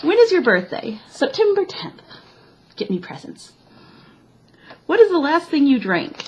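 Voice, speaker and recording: A woman with a slight Midwestern accent, high in pitch, fairly slow with long, frequent pauses, very wide pitch swings and big jumps in loudness, over noticeable background noise. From US Midwest, Chicago. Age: 20s. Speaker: vlogger. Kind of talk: casual chat.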